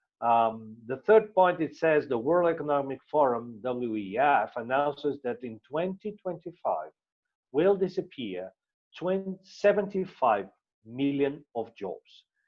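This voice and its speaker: A man speaks with a Portuguese accent at a fairly slow pace. His pitch is fairly high and swings very widely. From Portugal. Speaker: business presenter. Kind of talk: sales presentation. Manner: halting, many fillers and repetitions.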